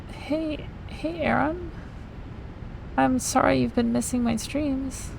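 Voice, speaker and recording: A quiet woman speaks at a very slow pace amid audible room echo and noticeable background noise. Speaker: video game streamer. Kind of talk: gameplay commentary. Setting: live stream. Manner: casual, hesitant with fillers.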